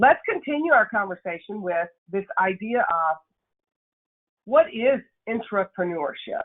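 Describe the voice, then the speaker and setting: Very wide pitch swings in a Nashville accent. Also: woman. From Tennessee, Nashville. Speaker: workshop speaker, leadership consultant. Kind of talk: webinar presentation. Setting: webinar.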